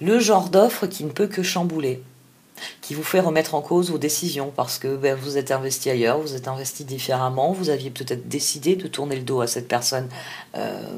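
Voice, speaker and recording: A woman with a very deep, low voice speaks at a fairly quick pace with ordinary pitch variation over noticeable background noise. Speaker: tarot reader. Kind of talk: tarot reading. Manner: halting.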